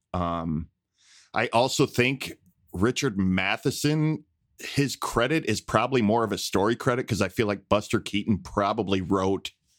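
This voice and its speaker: Recorded dry and close with no echo on a very clean track with a silent background, a man speaks in an ordinary speaking voice, fairly low in pitch, at a moderate pace with ordinary pitch variation. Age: 40s. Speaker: illustrator and podcast co-host. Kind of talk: casual chat.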